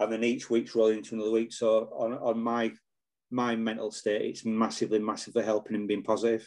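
Delivered very fast in a Yorkshire accent, the speech has monotone, flat intonation over a quiet background. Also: man, medium pitch for a man. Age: 40s. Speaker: retired police officer. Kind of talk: casual chat.

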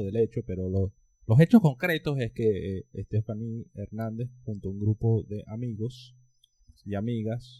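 In a dry, close sound with no echo, a man speaks in a normal speaking voice at medium pitch with big swings in loudness. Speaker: podcast co-host, political scientist. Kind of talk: casual chat.

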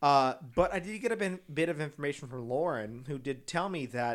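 Over a silent background on a very clean recording, a man with an American accent uses a fairly high pitch, an animated tone and ordinary pitch variation. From Texas, San Antonio. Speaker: podcast co-host, drag race recap. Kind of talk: casual chat.

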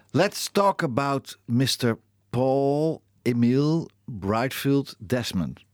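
Very slow speech in a Dutch accent with lively intonation and a dry, close sound with no echo. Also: man, medium pitch for a man. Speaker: radio host. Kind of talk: casual chat. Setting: studio. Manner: halting.

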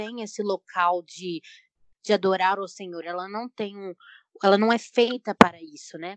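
A woman with a normal speaking voice talks at a moderate pace with fairly even intonation. The sound is dry and close, with no echo. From Brazil, Belo Horizonte (Minas Gerais). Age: 20s. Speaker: painter and journalism student. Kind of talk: casual panel discussion.

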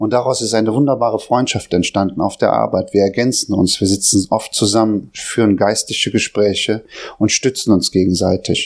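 In a normal speaking voice, a man talks at a moderate pace with fairly low pitch, fairly even intonation and very even loudness. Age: 40s. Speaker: lay preacher. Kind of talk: sermon; testimony.

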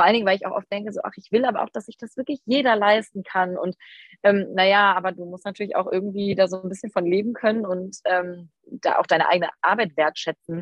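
Speaking at a very fast pace, a woman with medium pitch shows big swings in loudness. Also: ordinary pitch variation. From Rhineland, near Düsseldorf. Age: 20s. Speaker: photographer and mother of twins. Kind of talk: casual interview chat.

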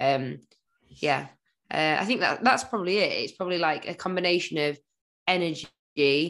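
A woman with a British accent has a bright, sharp tone and ordinary pitch variation, on a very clean recording with a silent background. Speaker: fitness podcast co-host. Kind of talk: casual chat.

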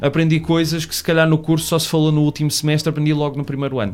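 A man's fairly high voice, very fast and monotone, with noticeable background noise. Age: 20s. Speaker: podcaster and film production assistant. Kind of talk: casual chat.

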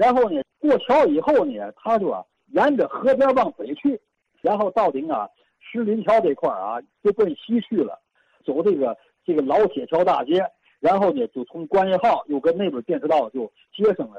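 High-pitched man's voice with a dark, mellow tone, very wide pitch swings and a moderate pace, dry and close with no echo. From Tianjin, China. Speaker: caller. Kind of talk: casual chat.

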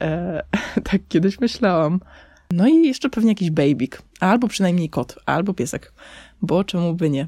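This voice has a dark, mellow tone at a moderate pace. The recording is very clean, with a silent background. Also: woman. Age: 20s. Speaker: podcaster. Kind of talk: personal monologue. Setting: under a blanket in parents' bedroom. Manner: casual.

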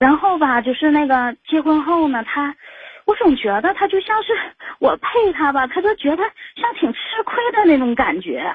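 Her voice is high, and its pitch swings very widely. The woman keeps a moderate pace. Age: 40s. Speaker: caller to a relationship advice show. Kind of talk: personal confession to radio host. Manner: halting, many fillers.

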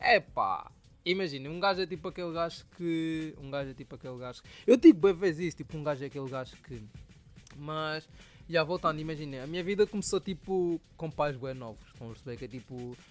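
With music in the background, a man speaks at a fairly quick pace in a fairly high pitch, his loudness swinging widely. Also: ordinary pitch variation. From Angola (Soyo). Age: 20s. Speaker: podcast host and rapper. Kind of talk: casual solo storytelling.

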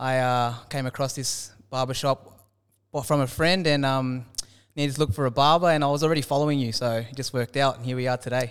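A man's medium-pitched voice in an Australian accent, very fast, with fairly even intonation. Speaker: podcast host. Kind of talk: casual interview chat.

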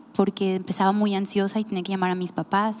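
A woman talks in a dark, mellow tone. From Mexico, Nayarit. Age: 30s. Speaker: podcast host, church team member. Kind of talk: casual chat.

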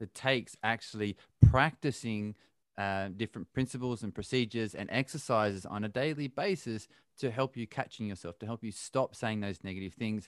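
In an Australian accent, a man speaks at a moderate pace with a fairly low pitch and ordinary pitch variation. The sound is dry and close with no echo, over a quiet background. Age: 30s. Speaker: podcast host and endurance athlete. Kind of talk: casual interview. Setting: remote call.

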